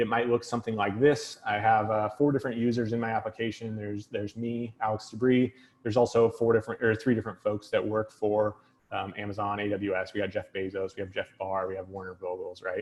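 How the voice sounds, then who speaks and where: Very fast and monotone, a man speaks at a fairly low pitch with flat intonation. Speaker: tech consultant and trainer. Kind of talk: technical talk.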